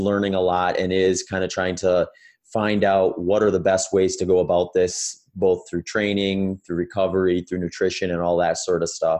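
A man speaks in an American accent at a moderate pace. His very deep, low voice stays monotone and flat. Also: quiet background. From US Midwest, Wisconsin. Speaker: ultramarathon runner and endurance coach. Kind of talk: interview conversation. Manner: casual with frequent fillers.

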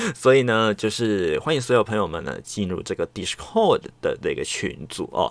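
A man with vocal fry talks in a relaxed tone at a moderate pace. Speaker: solo podcast host. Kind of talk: casual chat. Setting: home recording. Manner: relaxed, chatty with many fillers.

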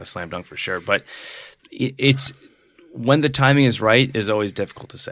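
With an American accent, a man speaks at a medium pitch with ordinary pitch variation, big swings in loudness, and long, frequent pauses. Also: moderate pace. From Buffalo, New York. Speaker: music booking agent. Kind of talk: casual interview.

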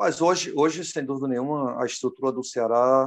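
A man at a medium pitch and moderate pace. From Brazil, Pernambuco. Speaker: former footballer and coach. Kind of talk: interview. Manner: halting, many fillers.

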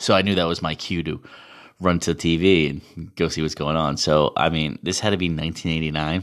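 A man with a very deep, low voice talks at a moderate pace in a very clean recording with a silent background. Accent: Boston. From Massachusetts, Boston area. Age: 30s. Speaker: podcaster and amateur hockey player. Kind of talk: casual monologue.

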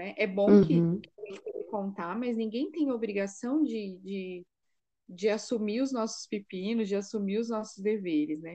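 A woman's voice is dark and mellow at medium pitch, with ordinary pitch variation. She speaks fairly slowly with big swings in loudness. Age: 30s. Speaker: psychologist and mother of seven. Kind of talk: casual chat. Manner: halting.

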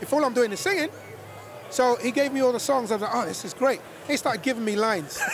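A man with an American accent talks at a very fast pace in an extremely high pitch. His intonation is lively, and background noise is noticeable. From London, England. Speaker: singer. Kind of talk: casual chat.

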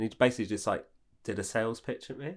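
The man's very fast speech, with ordinary pitch variation, is captured in a very clean recording against a silent background. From Hastings, southern England. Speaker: podcast host and comedian. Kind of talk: casual chat.

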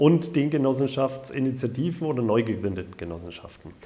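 Lively intonation in an Upper Franconian accent at a moderate pace. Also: man. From Upper Franconia, Bayreuth. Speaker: housing cooperative executive. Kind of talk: interview.

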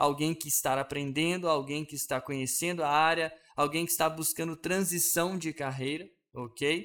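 Words come at a moderate pace with fairly even intonation. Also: man, fairly high pitch for a man. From Brazil, Belo Horizonte. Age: 30s. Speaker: podcast host. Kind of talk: casual monologue. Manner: hesitant with fillers.

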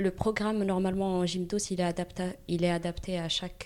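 A woman speaks in a fairly low pitch at a fairly quick pace. Her intonation stays monotone and flat. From Morocco. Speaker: gymnastics teacher. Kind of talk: interview. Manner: halting.

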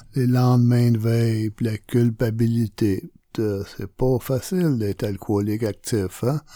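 On a very clean recording with a silent background, a man speaks very slowly in a dark, mellow tone, his loudness very even and his pitch varying in an ordinary way. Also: medium pitch for a man. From Quebec, Montreal. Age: 60s. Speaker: recovering alcoholic. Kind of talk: testimony. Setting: radio studio. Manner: halting.

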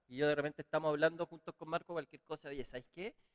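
Very fast speech from a man with a Chilean accent, fairly high in pitch and fairly even in intonation, dry and close with no echo. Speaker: podcast host. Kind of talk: casual interview.

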